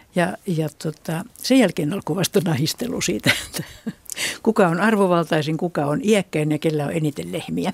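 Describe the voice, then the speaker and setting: An unremarkable speaking voice moves at a moderate pace with lively intonation, in a dry, close sound with no echo. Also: woman, fairly low pitch for a woman. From Finland, Satakunta. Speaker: retired regional researcher, ethnologist. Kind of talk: radio panel discussion. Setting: studio.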